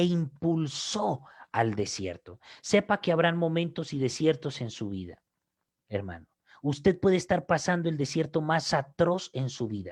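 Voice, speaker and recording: Speaking at a fairly slow pace, a man swings his pitch very widely. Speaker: pastor. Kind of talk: sermon. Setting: online broadcast. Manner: repetitive, emphatic.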